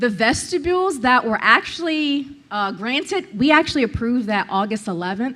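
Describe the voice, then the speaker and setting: A loud woman talks at a moderate pace in a high voice, with very wide pitch swings. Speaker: public commenter, former school board member. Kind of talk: public comment at meeting. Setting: public meeting with microphone. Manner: confrontational.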